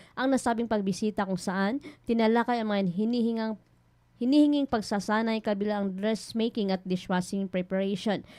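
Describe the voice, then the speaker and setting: Over a quiet background, a woman speaks at a medium pitch and a fairly quick pace, her tone dark and mellow and her intonation fairly even. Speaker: radio news reporter. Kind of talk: radio news report.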